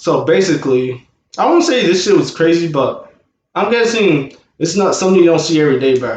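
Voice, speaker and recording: Mumbling at a fairly high pitch, a man speaks with ordinary pitch variation as audible room echo surrounds his voice. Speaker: vlogger and rapper. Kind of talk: storytime vlog. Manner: slightly mumbled speech; casual, halting with fillers.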